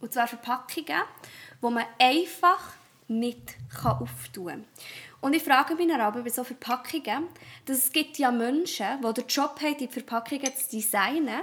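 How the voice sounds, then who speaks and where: Long, frequent pauses at a moderate pace, with ordinary pitch variation and big swings in loudness. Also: woman, high pitch for a woman. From Switzerland, Thun (Bernese Oberland). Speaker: primary school teacher, podcast co-host. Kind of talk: casual chat. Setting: home office, morning recording.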